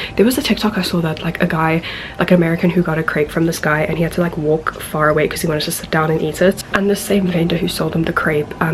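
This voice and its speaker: Against noticeable background noise, a soft-spoken woman talks at a fairly low pitch. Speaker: travel vlogger. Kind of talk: vlog narration. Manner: animated.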